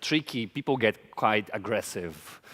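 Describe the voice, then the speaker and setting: With lively intonation and a Portuguese accent, a man speaks at a moderate pace in a very clean recording with a silent background. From Brazil, small town. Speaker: drag queen designer, conference speaker. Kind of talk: conference talk. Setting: stage with audience.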